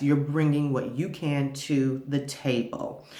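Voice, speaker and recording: Noticeable background noise fills the recording. The voice belongs to a woman. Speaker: vlogger giving marriage advice. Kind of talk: casual advice monologue to camera. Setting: makeshift home studio. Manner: loud; halting with many repeats.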